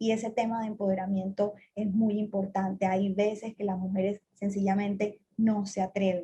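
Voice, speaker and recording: A woman with a Colombian Caribbean accent speaks at a moderate pace with hardly any pauses, her medium-pitched voice somewhat breathy with a dark, mellow tone. Her intonation is monotone and flat, and her loudness is very even. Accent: Colombian Caribbean coastal Spanish. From Colombian Caribbean coast, Cartagena. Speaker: telecom executive. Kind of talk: interview.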